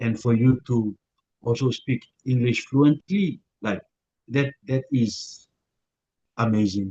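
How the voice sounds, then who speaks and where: Speaking very slowly with long, frequent pauses, a man has a medium-pitched, somewhat breathy voice with a dark, mellow tone. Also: ordinary pitch variation. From Papua New Guinea. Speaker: YouTuber. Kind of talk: interview. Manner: hesitant.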